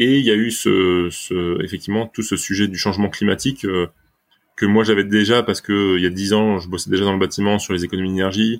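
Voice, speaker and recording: A man's fairly low voice, an unremarkable speaking voice, at a fairly quick pace in a very clean recording with a silent background. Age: 30s. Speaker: startup founder, engineer. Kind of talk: casual interview.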